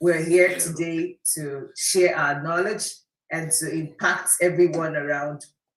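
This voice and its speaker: A woman with a Nigerian accent, fairly low pitch, fairly even intonation and a fairly slow pace, with audible room echo. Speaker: accountant and wellness practitioner. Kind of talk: panel guest introduction.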